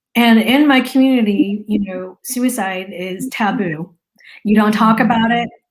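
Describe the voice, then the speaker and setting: Somewhat breathy woman's voice, fairly high in pitch, fairly slow, with ordinary pitch variation. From US, Lao immigrant family. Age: 40s. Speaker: marketing business owner sharing personal story. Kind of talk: interview testimony.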